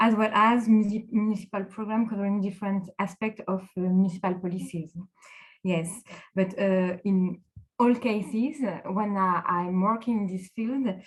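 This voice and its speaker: A woman speaks at a moderate pace with a strong French accent. Her medium-pitched voice is somewhat breathy, with fairly even intonation. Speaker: local politics executive director and consultant. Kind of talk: panel discussion. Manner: halting, many fillers.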